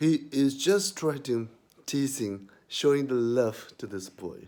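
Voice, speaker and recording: A man with a non-native accent at a very slow pace, fairly high in pitch, dark and mellow in tone, with lively intonation. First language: not English. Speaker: YouTuber. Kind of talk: vlog commentary. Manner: halting.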